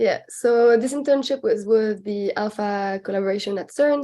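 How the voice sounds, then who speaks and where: A woman with a French accent speaks at a moderate pace in a dark, mellow tone, with ordinary pitch variation and a quiet background. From France, Alps village near Switzerland. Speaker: PhD student, researcher. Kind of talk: podcast interview. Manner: halting, many fillers.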